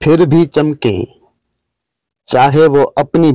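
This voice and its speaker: The speaker is male. His voice sounds dark and mellow. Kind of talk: motivational speech.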